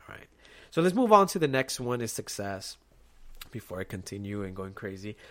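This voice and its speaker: A man at a fairly quick pace, in a very clean recording with a silent background. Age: 20s. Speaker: podcast host, Navy veteran. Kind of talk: casual solo monologue.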